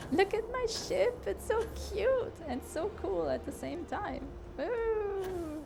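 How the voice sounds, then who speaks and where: Over noticeable background noise, a woman with an extremely high voice speaks very slowly with lively intonation. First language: not English. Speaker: gaming streamer and aspiring game designer. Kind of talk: live gameplay commentary. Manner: hesitant, many fillers and repeats.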